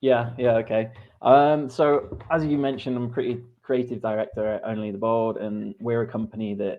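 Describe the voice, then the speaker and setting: With an English accent, a man keeps a medium pitch, a moderate pace and fairly even intonation. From England. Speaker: creative director. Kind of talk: interview.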